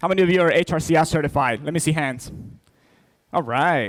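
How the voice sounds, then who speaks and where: A man with an American accent speaks in a fairly high pitch. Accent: American accent with a Spanish twist. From Spain. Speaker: keynote speaker, certification executive. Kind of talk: keynote speech. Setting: stage with audience.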